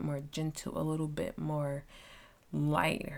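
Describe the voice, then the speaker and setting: A woman's very deep, low pitch at a fairly slow pace, with fairly even intonation on a very clean recording with a silent background. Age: 20s. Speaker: podcast host. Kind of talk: casual solo monologue.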